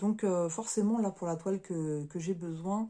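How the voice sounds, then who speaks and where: Speaking at a fairly slow pace, a woman has a fairly low voice with a dark, mellow tone and ordinary pitch variation. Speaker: crafts YouTuber. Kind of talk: unboxing review. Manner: halting, stumbling.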